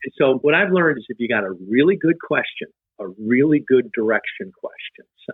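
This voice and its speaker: At a fairly quick pace, a man with a fairly high voice makes very wide pitch swings and big swings in loudness. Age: 60s. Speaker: life coach. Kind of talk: casual chat.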